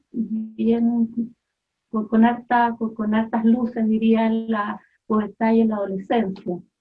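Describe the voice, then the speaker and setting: A woman with a Chilean accent speaks at a very slow pace in a fairly high, somewhat breathy voice. Her intonation is monotone and flat, broken by long, frequent pauses. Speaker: mother giving testimony. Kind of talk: testimony.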